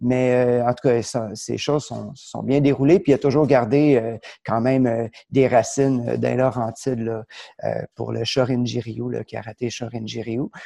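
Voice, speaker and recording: The voice has a dark, mellow tone, a fairly slow pace and fairly even intonation. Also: man, medium pitch for a man. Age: 40s. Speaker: martial arts instructor. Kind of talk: casual interview chat.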